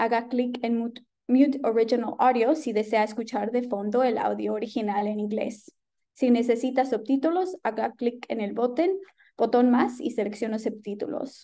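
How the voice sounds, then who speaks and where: Her tone dark and mellow, a woman speaks at a fairly quick pace in a high pitch with ordinary pitch variation. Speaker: webinar host. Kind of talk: webinar announcements. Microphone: webcam.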